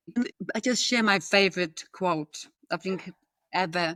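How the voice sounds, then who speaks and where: The speaker has a strong Polish accent and a moderate pace. The recording is very clean with a silent background and a dry, close sound with no echo. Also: woman. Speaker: podcast guest, corporate employee in multicultural workplace. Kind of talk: podcast interview conversation.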